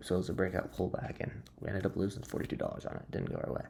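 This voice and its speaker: A man speaks quietly in a very deep, low pitch, his dark, mellow tone carrying vocal fry and lively intonation. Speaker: day trader vlogger. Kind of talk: casual trading recap. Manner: quiet, subdued.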